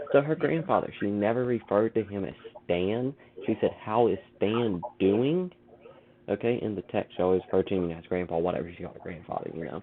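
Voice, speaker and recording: A man talks fairly quickly at a fairly low pitch, his tone animated and his intonation lively. His loudness swings widely, and background noise is noticeable. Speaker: podcast host. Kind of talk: casual chat. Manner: halting.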